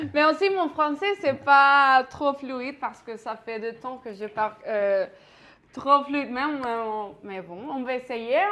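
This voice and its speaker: At a very slow pace, a woman with a Mexican accent uses a raised, projected voice that is high and bright with a sharp tone. Her intonation is lively. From Mexico. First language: Spanish (speaking French). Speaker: pastry chef teaching a cooking class. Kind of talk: cooking class. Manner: halting, many fillers.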